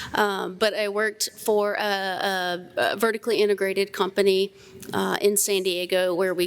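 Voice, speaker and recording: A woman speaks in a Southern US accent at a medium pitch. Her pace is fairly slow and her intonation monotone and flat. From US South, South Carolina. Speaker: plant scientist, panelist. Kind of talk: conference panel discussion.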